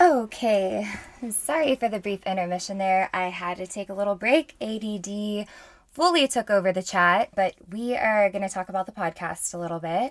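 With an American accent, a woman of medium pitch talks at a moderate pace with ordinary pitch variation, the sound dry and close with no echo. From Houston, Texas. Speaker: podcast host. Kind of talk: casual solo monologue. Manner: animated; frequent filler ums.

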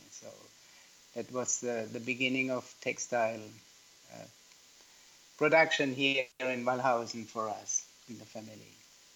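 With a German accent, a man talks at a moderate pace in a medium-pitched, bright, sharp voice, flat and monotone in intonation, with big swings in loudness and long, frequent pauses. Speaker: yarn manufacturer. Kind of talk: interview. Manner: halting.

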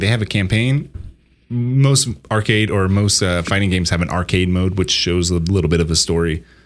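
With lively intonation, a man in a normal speaking voice talks at a moderate pace. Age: 30s. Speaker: video game podcast co-host. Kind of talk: casual chat.

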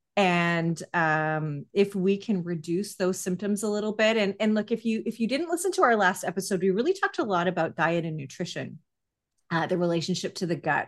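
A woman at medium pitch with a plain, everyday voice, ordinary pitch variation and a fairly quick pace, over a quiet background. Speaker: podcast host. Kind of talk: casual interview chat.

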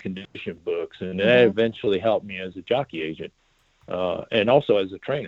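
Moderate pace, with an American accent. A plain, everyday voice. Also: man. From Omaha, Nebraska. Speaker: horse racing manager. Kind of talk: interview. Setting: phone call.

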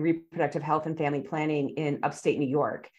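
This woman has an Upper Midwest accent and a very deep, low voice. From southern Wisconsin, Oconomowoc. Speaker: family physician and medical educator. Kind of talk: casual chat. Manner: halting.

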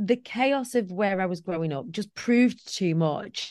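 Speaking fairly slowly at a medium pitch, a woman uses lively intonation against a quiet background. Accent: Lancashire. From northwest England, Preston. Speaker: motivational speaker. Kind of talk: casual chat.

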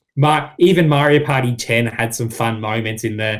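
With an Australian accent, a man talks at a moderate pace and medium pitch, using ordinary pitch variation. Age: 20s. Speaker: gaming podcaster. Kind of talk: casual chat.

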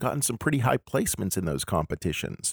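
Using vocal fry, a man talks at a fairly quick pace with very wide pitch swings. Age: 50s. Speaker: podcast host and independent filmmaker. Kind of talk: scripted narration.

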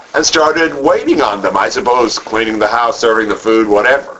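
A man's voice against noticeable background noise. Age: 50s. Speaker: Bible class teacher. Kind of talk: Bible study lecture.

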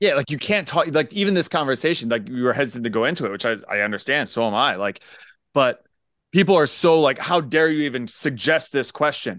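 A man with a plain, everyday voice and an American accent, fairly high in pitch, with lively intonation over a quiet background. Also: fairly quick pace. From Pennsylvania. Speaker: high school civics teacher and podcaster. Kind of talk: casual chat.

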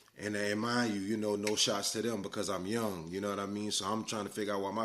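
Speaking at a very fast pace, a man with a fairly low pitch is heard with audible room echo. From US South, South Carolina. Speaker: podcast host. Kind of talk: personal storytelling monologue. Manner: animated.

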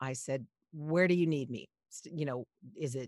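Heard dry and close with no echo, a woman with an American accent speaks in a very deep, low voice at a moderate pace. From Los Angeles, US. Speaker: podcast producer and voiceover artist. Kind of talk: interview conversation.

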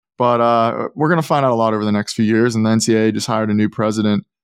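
A man with an American accent and medium pitch talks at a very fast pace, on a very clean recording with a silent background and a dry, close sound with no echo. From Pittsburgh, Pennsylvania, US. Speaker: NIL expert, former college basketball player. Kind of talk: podcast interview.

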